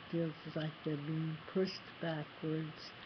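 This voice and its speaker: A woman speaks with an American accent and a fairly low pitch. Her voice is somewhat breathy, with a monotone, flat intonation. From US East Coast. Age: 60s. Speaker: person living with HIV. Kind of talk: personal testimony to camera.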